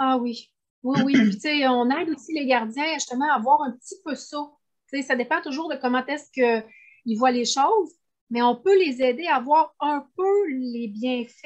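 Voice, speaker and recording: The speaker talks at a fairly slow pace in a Quebec accent. Pitch moves in an ordinary way. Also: woman, high pitch for a woman. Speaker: animal communicator. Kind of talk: interview.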